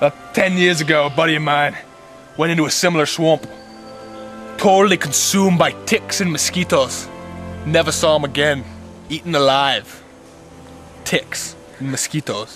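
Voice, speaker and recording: Clear music plays in the background as a man speaks at a moderate pace with ordinary pitch variation and long, frequent pauses, in a dry sound with no echo. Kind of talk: comic mock-documentary narration. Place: forest. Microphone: camera far.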